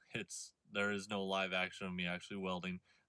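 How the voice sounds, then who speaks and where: At a fairly quick pace, a man talks with a bright, sharp tone. The background is quiet and the sound is dry with no echo. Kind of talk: casual vlog chat. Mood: relaxed, friendly. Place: car. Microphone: phone near.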